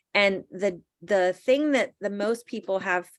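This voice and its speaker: A woman with a normal speaking voice, medium pitch and ordinary pitch variation at a fairly slow pace, on a very clean recording with a silent background. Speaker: direct sales team leader. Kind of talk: training workshop.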